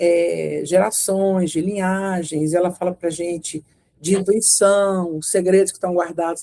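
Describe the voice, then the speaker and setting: At medium pitch and a fairly slow pace, a woman speaks with a dark, mellow tone and monotone, flat intonation. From Brazil, Minas Gerais (Belo Horizonte). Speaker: retired lawyer and women's circle facilitator. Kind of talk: interview. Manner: hesitant, many fillers.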